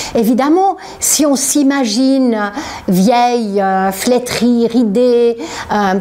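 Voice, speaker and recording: Very slow speech over noticeable background noise. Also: woman, high pitch for a woman, ordinary pitch variation. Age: 60s. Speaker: author. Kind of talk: interview. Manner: halting.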